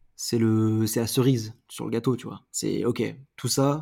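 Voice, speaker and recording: A dark, mellow tone at a fairly slow pace in a very clean recording with a silent background. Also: man. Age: 30s. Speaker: musician and multi-disciplinary creative. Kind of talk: casual interview. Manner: animated.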